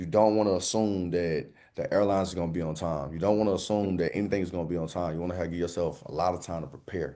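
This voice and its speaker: Over a quiet background, a man with a Southern US accent speaks in a very deep, low voice with a dark, mellow tone. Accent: Southern US, thick drawl. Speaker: motivational speaker. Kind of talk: interview. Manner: energetic.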